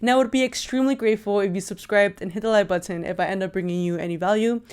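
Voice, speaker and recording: Heard on a very clean recording against a silent background, a woman speaks at a medium pitch with fairly even intonation. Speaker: YouTuber reviewing microphones. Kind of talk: product review tutorial. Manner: loud.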